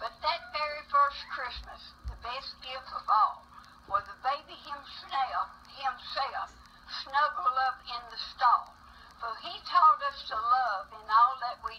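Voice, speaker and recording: A woman uses a raised, projected voice with a high pitch. She speaks at a very slow pace over noticeable background noise. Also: big swings in loudness. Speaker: grandparent. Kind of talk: reading aloud.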